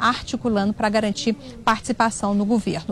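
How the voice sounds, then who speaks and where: At a moderate speed, the talking comes through noticeable background noise. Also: woman. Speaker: political reporter. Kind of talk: news report. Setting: auditorium.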